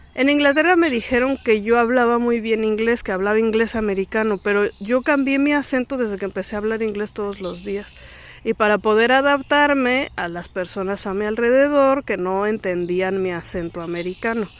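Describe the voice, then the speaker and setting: Delivered at a moderate pace with a Mexican accent, the speech has ordinary pitch variation and hardly any pauses. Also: woman, fairly high pitch for a woman. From Mexico. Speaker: vlogger. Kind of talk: casual vlog talk. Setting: outdoors in a park. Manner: animated.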